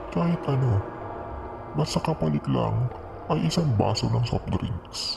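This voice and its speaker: A man puts on a character voice, speaking at a fairly slow pace in a medium pitch. Clear background noise runs behind him. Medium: read story. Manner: sweet, coaxing.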